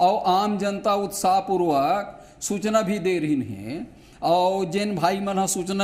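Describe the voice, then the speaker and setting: Audible room echo hangs on this voice. The man talks with a high pitch. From Chhattisgarh, Mahasamund district (Odisha border). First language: Laria (half Chhattisgarhi, half Odia) (speaking Hindi). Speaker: political panelist. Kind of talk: TV debate.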